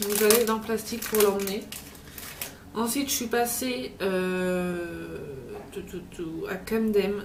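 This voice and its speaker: A woman speaks at a very slow pace with long, frequent pauses, a medium pitch, ordinary pitch variation and big swings in loudness. Noticeable background noise and audible room echo fill the recording. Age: 20s. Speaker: vlogger. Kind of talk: travel vlog haul talk. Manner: casual, hesitant with many fillers.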